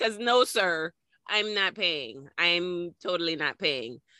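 A woman speaks at a moderate pace in an animated, bright, sharp tone with lively intonation, recorded dry and close with no echo over a quiet background. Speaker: podcast host. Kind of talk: casual chat. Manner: animated, profane.

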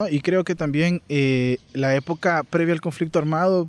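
A man with a fairly high pitch uses a normal speaking voice with fairly even intonation, the sound dry and close with no echo and the background quiet. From El Salvador. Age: 30s. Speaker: podcast co-host. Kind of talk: casual history discussion.

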